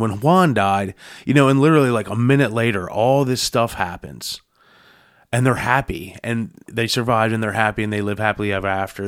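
In a very clean recording with a silent background, a man with a plain, everyday voice speaks at a moderate pace, with fairly low pitch and ordinary pitch variation. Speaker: panelist. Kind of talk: casual chat.

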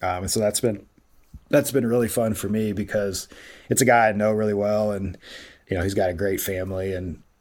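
Recorded very cleanly against a silent background, a man speaks with an American accent. His pitch is fairly low, his pace fairly quick and his intonation fairly even. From US Midwest, Columbus, Ohio. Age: 30s. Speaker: sports video producer. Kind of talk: interview, casual chat. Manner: halting, many fillers.

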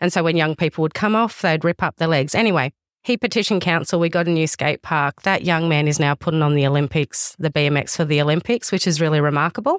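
A woman with an Australian accent talks very fast, with hardly any pauses, in a very deep, low voice at very even loudness. The recording is very clean, with a silent background and a dry, close sound free of echo. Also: ordinary pitch variation. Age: 30s. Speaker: youth service manager. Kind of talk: interview.

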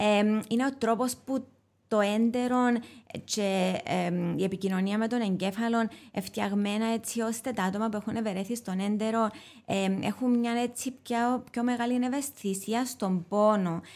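A woman's fairly high, fairly even voice in a Cypriot accent, at a fairly slow pace. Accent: Cypriot Greek. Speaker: molecular biologist and author. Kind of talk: expert interview. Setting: studio. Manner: halting, many fillers.

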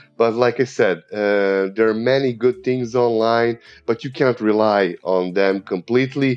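A man speaks at a fairly slow pace with an Eastern European accent, his pitch medium. His loudness stays very even and his pitch varies in an ordinary way. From Serbia. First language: Serbian. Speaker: English teacher. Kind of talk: casual interview chat. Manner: repeats words, halting starts; enthusiastic.

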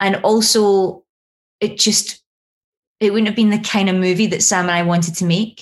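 At a moderate pace, a woman with a medium pitch speaks in a monotone, flat intonation, somewhat breathy and at very even loudness, with long, frequent pauses. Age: 30s. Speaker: screenwriter. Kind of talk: interview.

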